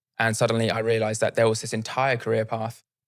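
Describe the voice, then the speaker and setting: Here is a man with a British accent. His voice sits at a medium pitch. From UK. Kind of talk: interview.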